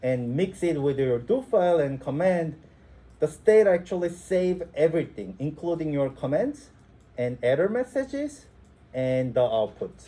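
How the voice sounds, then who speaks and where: In a dark, mellow tone with a non-native accent, the speaker talks at a moderate pace with very wide pitch swings. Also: man, fairly high pitch for a man. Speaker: instructor. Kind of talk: lecture. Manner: halting, many fillers.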